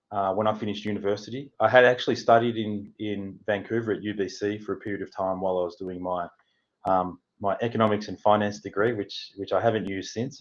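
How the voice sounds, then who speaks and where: A man speaks fairly quickly with a strong Australian accent and a fairly low pitch. His intonation stays fairly even against a quiet background. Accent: broad Australian. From Australia, Melbourne. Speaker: housing consultant. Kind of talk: interview.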